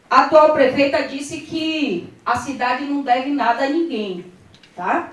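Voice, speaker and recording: A woman speaks loudly at a fairly slow pace, her pitch swinging very widely. Room echo is audible around her voice. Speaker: politician. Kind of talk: press conference. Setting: press conference room with audience.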